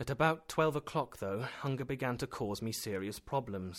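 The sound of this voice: Lively intonation in an unforced reading voice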